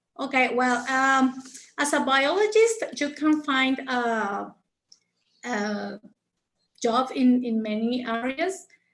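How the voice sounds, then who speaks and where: Speaking very slowly, a woman with a high pitch uses a Mexican accent. She leaves long, frequent pauses. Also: lively intonation. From Mexico. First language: Spanish. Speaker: conservation biologist. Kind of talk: interview Q&A. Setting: video call. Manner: halting, many fillers and repetitions.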